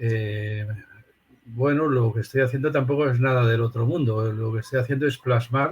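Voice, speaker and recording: A man's medium-pitched, somewhat breathy voice, with fairly even intonation at a moderate pace. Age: 60s. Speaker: philosophy professor. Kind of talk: interview.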